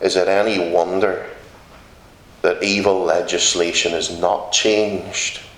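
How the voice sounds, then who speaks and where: In a room with audible echo, a man with a Northern Irish accent speaks at a fairly low pitch and fairly slow pace, his intonation monotone and flat and his loudness very even. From Northern Ireland. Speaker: visiting preacher. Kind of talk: sermon. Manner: emphatic.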